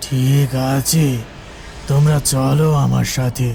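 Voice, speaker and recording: A man puts on a cartoonish character voice in a solemn tone at medium pitch, with clear background noise. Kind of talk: cartoon ghost-story acting. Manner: solemn, measured.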